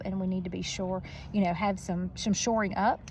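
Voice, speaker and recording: Speaking at a moderate pace, a woman has a medium pitch, a dark, mellow tone, and fairly even intonation. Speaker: school educator. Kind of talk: motivational talk. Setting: outdoors on a roof. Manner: loud; hesitant fillers.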